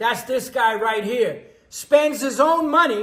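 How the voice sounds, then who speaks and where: Speaking with a New York accent, a man's pitch sits extremely high. He has an animated tone, ordinary pitch variation and a moderate pace. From New York City. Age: 60s. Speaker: cooking show host and musician. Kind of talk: casual chat.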